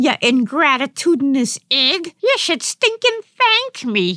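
A woman puts on a character voice. It is high-pitched with very wide pitch swings. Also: fairly slow pace. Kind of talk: comic overacting.

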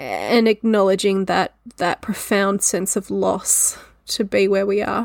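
A woman with an Australian accent, fairly slow and monotone, at very even loudness, in a dry, close sound with no echo. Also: medium pitch for a woman. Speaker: podcast host. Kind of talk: solo educational talk. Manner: casual, laughing at times.

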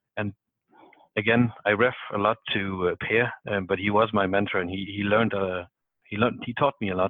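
A man with a Danish accent speaks in a fairly low pitch with monotone, flat intonation. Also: fairly quick pace. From South Denmark. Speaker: salesperson. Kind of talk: casual chat.

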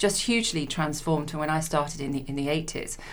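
A woman's very deep, low-pitched voice at a very fast pace, with audible room echo. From Leicester, England. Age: 50s. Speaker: insurance executive. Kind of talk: interview. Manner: halting.

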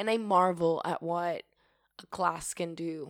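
Recorded very cleanly against a silent background, a woman speaks fairly slowly at a fairly low pitch, with a fairly bright tone and ordinary pitch variation.

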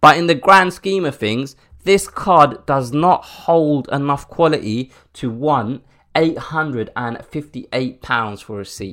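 A man with a British accent speaks at a fairly slow pace in a fairly high pitch, his bright, sharp, animated tone carried by lively intonation and big swings in loudness on a very clean recording with a silent background. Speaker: podcast host. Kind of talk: angry rant. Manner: indignant, animated, openly fuming.

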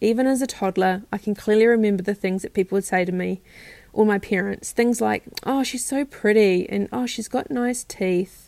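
On a very clean recording with a silent background, a woman with a New Zealand accent speaks at a medium pitch and a fairly quick pace. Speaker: self-care practitioner and nutrition coach. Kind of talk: personal storytelling monologue. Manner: talkative.

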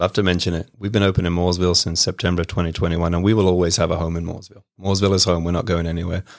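A man's very deep, low pitch with a British accent, monotone and flat, at a very fast pace with hardly any pauses, on a very clean recording with a silent background. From England, west London. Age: 40s. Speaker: home care business owner. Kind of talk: casual interview. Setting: studio.

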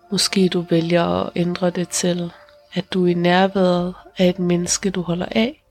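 With music in the background, a woman speaks in a gentle, calm tone at a fairly slow pace, her pitch fairly low and her intonation monotone and flat. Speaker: meditation guide and podcast host. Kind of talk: guided meditation. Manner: slow, calm and soothing, with long pauses between sentences; soft-spoken and gentle, reassuring.

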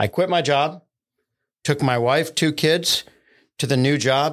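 A man with an American accent speaks at a medium pitch with ordinary pitch variation. The recording is very clean with a silent background. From US Northeast, central Pennsylvania. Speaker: tech executive and entrepreneur. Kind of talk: casual interview.

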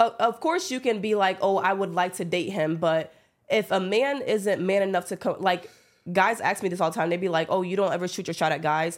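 In a very clean recording with a silent background, a woman speaks at a fairly quick pace in a normal speaking voice, medium in pitch with ordinary pitch variation. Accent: American. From upstate New York. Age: 20s. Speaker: podcast host. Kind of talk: casual chat.

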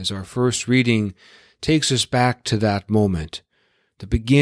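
Against little background sound, someone does plain reading aloud.

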